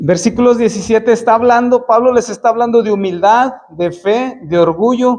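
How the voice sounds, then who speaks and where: This man's voice sits extremely high in pitch. He uses ordinary pitch variation and barely pauses. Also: moderate pace. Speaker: preacher. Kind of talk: sermon. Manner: halting.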